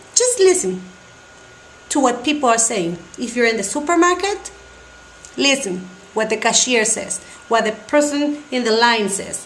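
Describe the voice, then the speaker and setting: With audible room echo and noticeable background noise, a woman speaks at a high pitch. Her pitch swings very widely, and she takes long, frequent pauses. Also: moderate pace. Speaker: Spanish teacher. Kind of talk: tutorial. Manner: halting.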